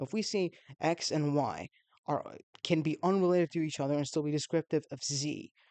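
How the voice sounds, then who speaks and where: The speech comes at a fairly quick pace over a quiet background. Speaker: YouTube philosophy video maker. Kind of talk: solo video explainer. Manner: fast; halting, many fillers and restarts.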